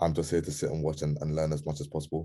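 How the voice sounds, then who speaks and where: A man's very deep, low voice in a London accent, dark and mellow in tone, against a quiet background. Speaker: community member. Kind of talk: casual group call. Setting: video call, camera off. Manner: hesitant, many ums.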